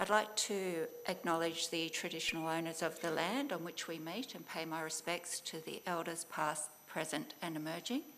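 A woman with an Australian accent speaks at a moderate pace with hardly any pauses, her pitch fairly low and its variation ordinary. There is light background noise. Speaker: government department official. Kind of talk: formal presentation. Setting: conference venue with live audience. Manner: formal. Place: hall. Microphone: podium.

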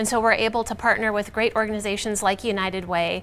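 Over light background noise, a woman speaks at a fairly quick pace. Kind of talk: interview answer. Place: studio.

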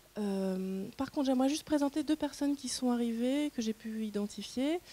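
Somewhat breathy and dark, mellow in tone, a woman speaks at a moderate pace with lively intonation. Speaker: moderator. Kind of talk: panel moderation.

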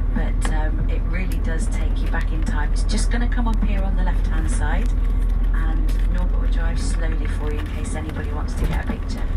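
Loud background noise surrounds a woman speaking at a fairly quick pace. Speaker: tour guide. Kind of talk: tour commentary. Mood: enthusiastic. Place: bus.

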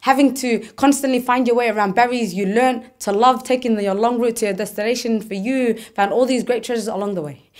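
Against a quiet background, a woman talks at a very fast pace with fairly even intonation. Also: fairly high pitch for a woman. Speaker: spoken word performer. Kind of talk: spoken word poetry performance, a personal reflective piece. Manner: earnest, shifting from playful and whimsical to sombre and then hopeful. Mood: reflective, earnest. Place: studio.

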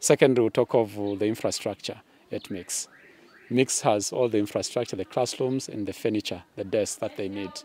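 At a moderate pace, a man speaks in a fairly low pitch with a dark, mellow tone and fairly even intonation, the sound dry with no echo. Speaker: secondary school teacher. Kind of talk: interview answer. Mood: friendly, smiling, explanatory. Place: open country.

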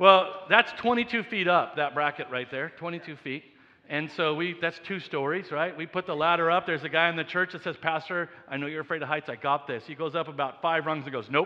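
A man talks at a fairly quick pace with hardly any pauses, his tone bright and sharp. His pitch varies in an ordinary way against a quiet background. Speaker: senior pastor. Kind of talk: sermon. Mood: humorous storytelling.

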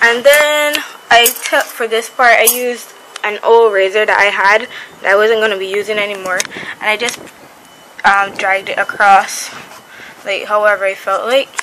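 Speech at a moderate pace comes with long, frequent pauses and noticeable background noise. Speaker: vlogger showing a DIY project. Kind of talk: casual vlog tutorial. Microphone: phone near.

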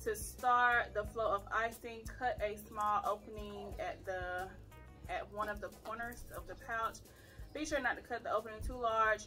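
Faint music can be heard in the background. The speaker talks fairly slowly. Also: woman. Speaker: mother vlogger. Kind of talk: casual vlog chat, reading instructions. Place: home room. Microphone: camera far.

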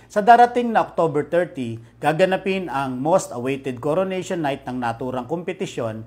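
Lively intonation carries this speech along at a moderate pace. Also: man. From Philippines. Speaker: city official newsreader. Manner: formal, measured and steady, even pace, neutral and businesslike. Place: office. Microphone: lapel.

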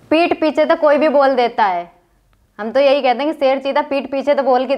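A woman's high voice at a moderate pace, with ordinary pitch variation and a quiet background. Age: 20s. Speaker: social media video creator. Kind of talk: podcast interview. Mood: indignant, defending herself. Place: studio.

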